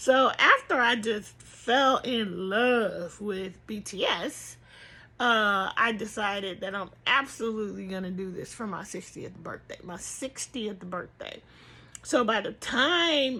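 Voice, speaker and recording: A woman speaks very slowly in a fairly high voice with ordinary pitch variation. Her tone is bright and sharp, yet relaxed. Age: 50s. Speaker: crochet vlogger. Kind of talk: casual chat. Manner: relaxed, conversational.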